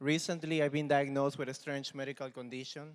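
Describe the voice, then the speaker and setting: A man speaks with a strong Peruvian accent. His pitch is fairly high, and his intonation is monotone and flat. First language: Spanish. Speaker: comedian. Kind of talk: casual interview; stand-up. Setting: stage with audience.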